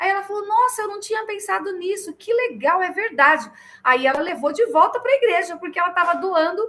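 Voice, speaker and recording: An animated woman's voice, extremely high in pitch, bright and sharp in tone, with very wide pitch swings. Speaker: children's ministry teacher. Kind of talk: online training lecture.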